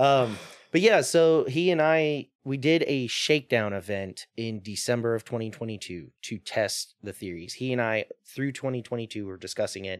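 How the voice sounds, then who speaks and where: A man's unremarkable speaking voice with an American accent, medium in pitch, lively in intonation, at a moderate pace, with a dry, close sound and no echo. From US Mississippi Gulf Coast. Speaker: drift company owner. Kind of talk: casual chat.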